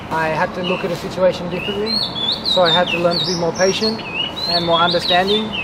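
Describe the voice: Against clear background noise, a man speaks fast in a high voice with fairly even intonation.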